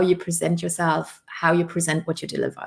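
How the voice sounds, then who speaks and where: A British accent with vocal fry. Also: woman. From Luxembourg. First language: Luxembourgish. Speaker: business coach. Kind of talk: interview.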